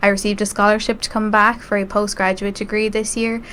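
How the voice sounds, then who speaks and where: The speaker has an Irish Midlands accent. Noticeable background noise is audible. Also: woman. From Ireland, rural County Westmeath. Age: 20s. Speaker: student election candidate. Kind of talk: interview.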